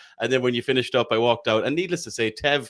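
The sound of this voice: A man speaks at a fast pace in a fairly bright tone.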